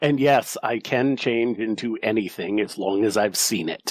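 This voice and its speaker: A man's put-on character voice, medium in pitch with ordinary pitch variation, at a moderate pace. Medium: actual play. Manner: halting, vulnerable.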